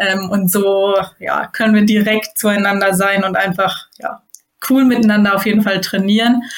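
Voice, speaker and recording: A woman with an ordinary speaking voice keeps fairly even intonation at a moderate pace and medium pitch. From northern Germany, near Hamburg. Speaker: judo athlete. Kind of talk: interview.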